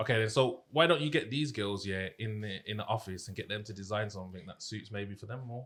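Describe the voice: A man talks at a fast pace, his fairly low pitch paired with a fairly bright tone. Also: ordinary pitch variation.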